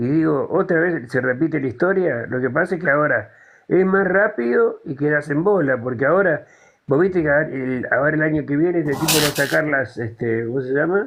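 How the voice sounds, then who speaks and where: A man with a Buenos Aires accent, fairly high pitch, ordinary pitch variation and a fairly quick pace. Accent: Rioplatense Spanish (Buenos Aires). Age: 70s. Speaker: caller in a live political discussion. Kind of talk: casual chat.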